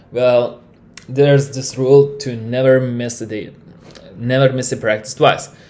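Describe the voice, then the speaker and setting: With a Lithuanian accent, a man speaks at a moderate pace. His pitch is medium and his intonation monotone and flat. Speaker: podcast host. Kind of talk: solo monologue. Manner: halting.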